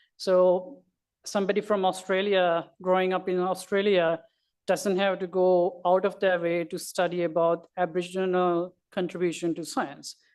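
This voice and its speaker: With a non-native accent, a woman speaks at a moderate pace in a medium pitch and a monotone, flat intonation against a quiet background. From Sri Lanka. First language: not English. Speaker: astronomy educator. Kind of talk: panel talk. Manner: halting.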